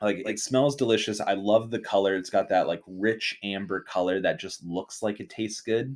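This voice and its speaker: Using an ordinary speaking voice, a man with a fairly low pitch talks at a moderate pace with hardly any pauses. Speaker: podcast host. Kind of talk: casual chat. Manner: joking banter.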